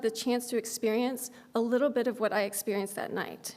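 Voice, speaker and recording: A high-pitched woman at a fairly quick pace, her intonation fairly even. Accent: American. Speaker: law school dean. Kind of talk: inaugural speech. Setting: stage with audience. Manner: fast talker.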